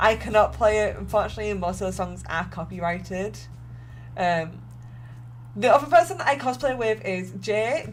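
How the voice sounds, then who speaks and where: Music plays behind a woman with an American accent. She talks at a moderate pace with long, frequent pauses. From England. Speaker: cosplayer streamer. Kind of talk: casual livestream chat while crafting. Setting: live stream at home. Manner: casual, chatty.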